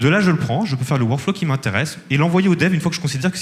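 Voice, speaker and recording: Talking at a very fast pace, a man uses a fairly high pitch. His pitch variation is ordinary. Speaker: startup founder pitching. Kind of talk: startup pitch with demo and Q&A.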